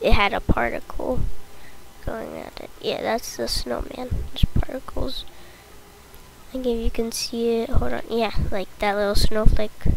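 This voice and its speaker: A woman speaks at a fairly slow pace with big swings in loudness. Noticeable background noise runs under her voice. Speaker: gaming YouTuber. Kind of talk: gameplay commentary.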